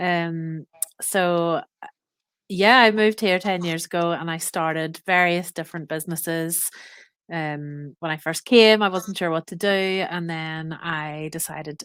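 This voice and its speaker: A woman with a Northern Irish accent, fairly low in pitch, at a fairly slow pace with fairly even intonation. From Northern Ireland. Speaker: expat business owner. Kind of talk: podcast interview.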